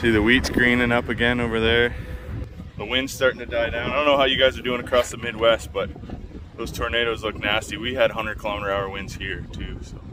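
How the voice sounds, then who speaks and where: With noticeable background noise behind him, a man talks at a very fast pace in a medium pitch with fairly even intonation. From southwestern Ontario, Canada. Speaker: truck rebuild vlogger. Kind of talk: casual vlog talk to camera.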